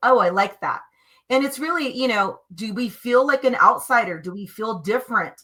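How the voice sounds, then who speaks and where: A high-pitched woman with a bright, sharp, animated tone and big swings in loudness. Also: lively intonation, moderate pace. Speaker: energy healer, co-host of spiritual stream show. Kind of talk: casual chat on live stream. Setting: live stream video show.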